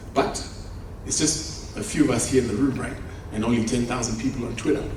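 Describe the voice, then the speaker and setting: Noticeable noise fills the background. A man's voice comes through with audible echo from the room. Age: 50s. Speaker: conference speaker, property developer. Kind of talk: conference keynote speech. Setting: conference stage with audience.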